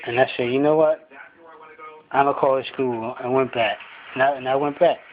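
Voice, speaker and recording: Over noticeable background noise, a man speaks at medium pitch with monotone, flat intonation. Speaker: vlogger. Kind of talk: motivational monologue. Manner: fast; halting.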